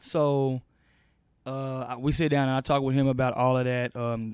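A man speaks in a normal speaking voice at a medium pitch. He has an American accent and keeps a moderate pace. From Austin, Texas. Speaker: podcast host. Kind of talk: news commentary monologue; casual interview chat. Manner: casual, filler-heavy.

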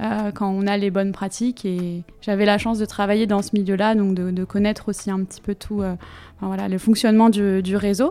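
A woman with a medium pitch and a dark, mellow tone, monotone, flat intonation, and a fairly quick pace. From Brittany, Finistère (France). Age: 30s. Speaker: food Instagram blogger, digital communications worker. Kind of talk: interview. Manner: halting, frequent hesitations.

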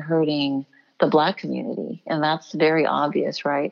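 In an ordinary speaking voice, a woman with a fairly low pitch talks at a moderate pace. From Houston, Texas. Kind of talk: interview.

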